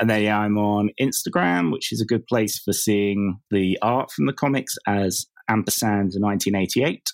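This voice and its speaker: In a dry, close sound with no echo, a man speaks with an English accent at a fairly low pitch. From England. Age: 30s. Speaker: comic book writer. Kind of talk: interview.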